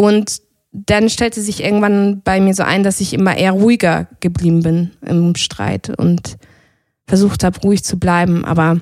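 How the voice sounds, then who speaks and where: A woman speaks at a moderate pace with a normal speaking voice, medium pitch and fairly even intonation. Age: 30s. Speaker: yoga teacher. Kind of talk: casual chat.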